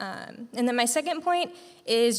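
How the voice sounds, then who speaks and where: This is a plain, everyday voice with an American accent. The intonation is lively. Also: woman. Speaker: graduating nursing student. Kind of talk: farewell speech to student group. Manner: casual, filler-heavy.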